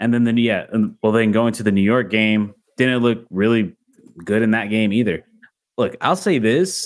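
Using a plain, everyday voice, a man talks at a moderate pace at medium pitch with ordinary pitch variation. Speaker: podcast host. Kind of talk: casual sports podcast chat. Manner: casual, interrupts often.

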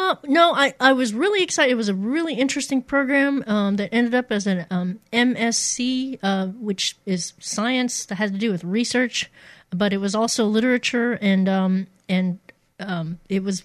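A woman with an American accent and an unremarkable speaking voice, fairly high in pitch, lively in intonation, at a moderate pace against a quiet background. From Missouri, US. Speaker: radio DJ. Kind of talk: casual interview chat.

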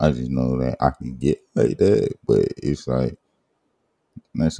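In a dry, close sound with no echo, a man speaks at a fairly slow pace with a very deep, low pitch and a dark, mellow tone. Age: 20s. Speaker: podcast host. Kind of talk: casual chat. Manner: animated; laid-back.

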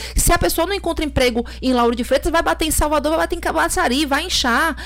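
A woman speaks at a high pitch with lively intonation. Her pace is fairly quick. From Bahia, Brazil. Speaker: lawyer and political activist. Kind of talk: podcast interview.

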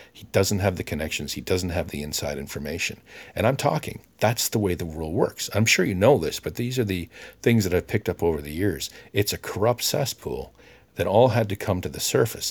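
A man speaks in an animated tone with a Canadian accent, at a fairly low pitch and a fairly quick pace, with lively intonation. His voice is somewhat breathy with big swings in loudness, on a very clean recording with a silent background. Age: 50s. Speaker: podcaster. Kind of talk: monologue.

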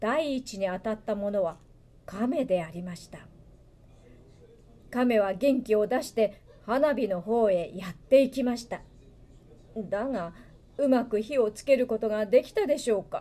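A woman with a dark, mellow tone speaks fairly slowly, her pitch varying in an ordinary way. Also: medium pitch for a woman.

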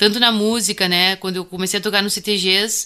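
Her tone bright and sharp, a woman speaks at a moderate pace and medium pitch with fairly even intonation. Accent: gaúcho. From Bagé, Rio Grande do Sul, southern Brazil. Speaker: musician and music researcher. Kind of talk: interview.

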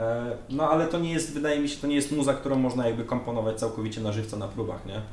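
Over noticeable background noise and audible room echo, a man talks at a very fast pace, at a medium pitch with ordinary variation. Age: young. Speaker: metal band drummer. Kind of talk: casual interview chat.

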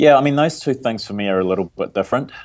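A man with a New Zealand accent speaks with lively intonation. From New Zealand (Wairarapa and Wellington). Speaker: tech startup CEO. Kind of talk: casual interview.

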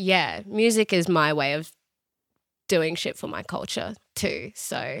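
On a very clean recording with a silent background, a woman with an Australian accent speaks at a very slow pace, her fairly low voice showing vocal fry, lively intonation and long, frequent pauses. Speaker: musician. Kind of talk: casual chat. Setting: studio.

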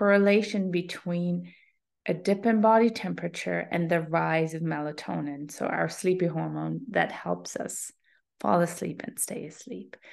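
A woman with a plain, everyday voice, fairly low pitch, ordinary pitch variation and moderate pace, against a quiet background. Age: 40s. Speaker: sleep and health coach. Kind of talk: solo podcast talk.

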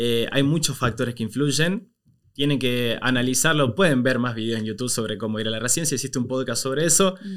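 A man's medium-pitched, normal speaking voice at a fairly quick pace with ordinary pitch variation, on a very clean recording with a silent background. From Argentina, Córdoba province small town. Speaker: migration content creator. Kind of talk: casual interview.

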